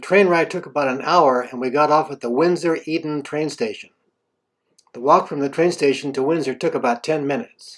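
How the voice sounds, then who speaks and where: A man speaks in a plain, everyday voice, fairly high in pitch, at a moderate pace, with ordinary pitch variation. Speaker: travel video narrator. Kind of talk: scripted narration.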